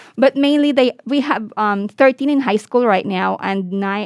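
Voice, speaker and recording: A woman with ordinary pitch variation in a dry, close sound with no echo. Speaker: NICU nurse. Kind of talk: casual chat. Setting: podcast interview. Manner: fast.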